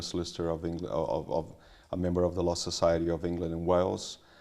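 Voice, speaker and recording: A man with a very deep, low pitch and a dark, mellow tone talks at a very fast pace. His intonation is monotone and flat. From Brazil. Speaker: solicitor. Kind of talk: interview. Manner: halting.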